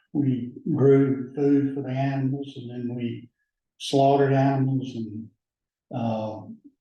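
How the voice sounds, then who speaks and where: In a room with audible echo, a man with an American accent and a dark, mellow tone speaks very slowly in a flat monotone, his loudness swinging widely. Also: medium pitch for a man. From US South, rural Alabama (Lowndes County). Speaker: judge. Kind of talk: oral history interview.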